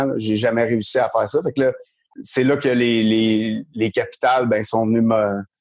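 The sound is dry and close, with no echo. A man talks at a medium pitch. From rural Quebec. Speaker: former baseball player and coach. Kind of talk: casual chat.

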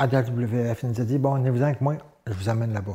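A man's voice with a dark, mellow tone. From Gaspésie, Quebec (Saint-Gabriel). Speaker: former professional wrestler. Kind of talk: interview. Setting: studio.

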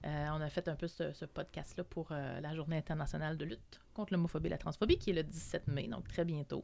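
Speaking at a fairly quick pace, a woman with a very deep, low pitch uses fairly even intonation and a dark, mellow tone, with vocal fry. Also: hardly any pauses. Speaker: community organization worker. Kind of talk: casual chat.

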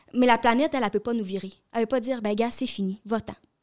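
A woman speaks in a normal speaking voice, her pitch fairly high. The recording is very clean with a silent background, dry and close with no echo. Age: young. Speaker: youth environmental advocate. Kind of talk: casual chat.

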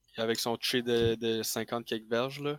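A man with a Quebec accent speaks at a medium pitch, the sound dry and close with no echo on a very clean recording with a silent background. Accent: Québécois French. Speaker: sports podcast panelist. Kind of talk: casual chat.

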